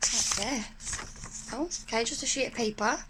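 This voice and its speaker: A woman whispers very slowly in an English accent. Noticeable background noise runs beneath her. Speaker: spiritual video creator. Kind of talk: casual unboxing chat. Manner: whispering.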